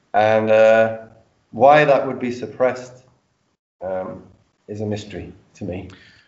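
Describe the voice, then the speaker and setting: With a London accent, a man at medium pitch talks at a fairly slow pace with fairly even intonation, big swings in loudness and long, frequent pauses. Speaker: audience member. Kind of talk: Q&A question.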